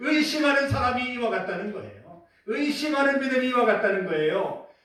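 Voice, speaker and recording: An extremely high-pitched male voice carries audible room echo. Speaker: pastor. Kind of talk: sermon. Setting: church.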